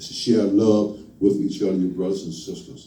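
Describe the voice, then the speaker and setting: Noticeable background noise and audible room echo surround the recording. A man talks at a fairly quick pace. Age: 60s. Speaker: lay minister. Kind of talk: sermon. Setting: church. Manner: halting.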